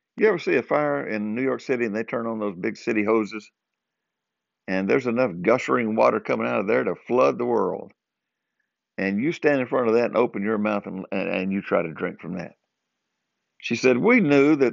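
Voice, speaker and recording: Here is a man with a Southern US accent and a medium pitch. He talks at a fairly quick pace with lively intonation. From US South, southern Arkansas. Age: 60s. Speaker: podcaster. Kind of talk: casual monologue. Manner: chuckles often.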